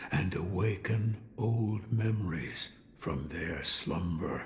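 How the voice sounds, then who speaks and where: A man uses a put-on character voice with a fairly low pitch, speaking at a very slow pace amid a clear echo. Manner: slow, hypnotic.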